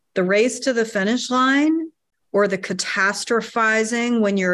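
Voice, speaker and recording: A plain, everyday voice with an American accent moves at a fairly slow pace over a quiet background. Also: woman. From US South, North Carolina. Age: 50s. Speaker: artist and electrical engineer. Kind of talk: interview conversation.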